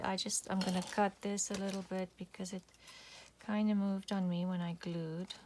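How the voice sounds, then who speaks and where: At a moderate pace, a woman with a non-native accent talks in a medium pitch with flat, monotone intonation and a somewhat breathy sound. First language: not English. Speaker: crafting YouTuber. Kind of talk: craft tutorial. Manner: casual, with fillers.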